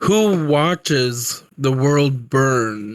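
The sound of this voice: A man puts on a character voice at a medium pitch.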